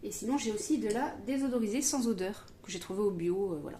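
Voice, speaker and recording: Through audible room echo and noticeable background noise, a woman speaks with lively intonation. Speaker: home cooking video host. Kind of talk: cooking tutorial. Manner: fast; hesitant, many fillers.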